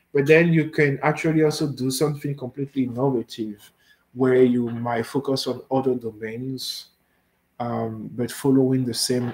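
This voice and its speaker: A man with a French accent, medium pitch, fairly even intonation and a moderate pace. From Benin. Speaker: machine learning researcher. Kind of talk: research talk with Q&A. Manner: halting, many fillers.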